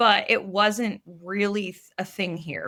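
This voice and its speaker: A plain, everyday voice from a woman with an American accent, medium in pitch at a fairly slow pace, on a very clean recording with a silent background. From USA. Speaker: tech company CEO. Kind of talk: podcast interview.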